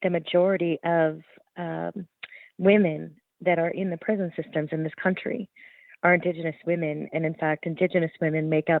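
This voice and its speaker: A woman's fairly low voice in monotone, flat intonation at a moderate pace. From Alberta, Canada. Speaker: journalist and author. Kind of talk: interview. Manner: many fillers and repetitions.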